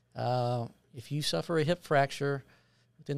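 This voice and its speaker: Over a silent background in a very clean recording, a man with a plain, everyday voice and an American accent talks at a fairly high pitch with fairly even intonation. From Texas, Tyler. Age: 50s. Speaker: hospitalist physician. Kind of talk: casual interview.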